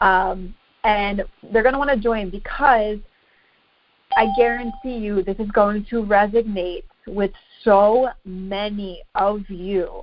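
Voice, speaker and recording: Speech comes at a very slow pace, broken by long, frequent pauses. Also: woman, medium pitch for a woman. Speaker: fitness coach. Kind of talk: group coaching call. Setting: conference call. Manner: stuttering, halting.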